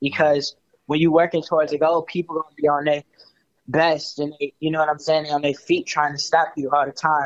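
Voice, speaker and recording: A man with an American accent talks very fast at a fairly high pitch, in a flat monotone. His loudness swings widely, and the sound is dry and close with no echo. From Chicago. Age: young. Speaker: rapper. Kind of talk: interview. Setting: phone call.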